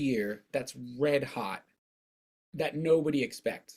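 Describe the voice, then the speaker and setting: This speaker moves along fairly slowly. The voice leaps across a very wide range of pitch. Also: man. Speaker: returning podcast guest. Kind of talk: casual chat.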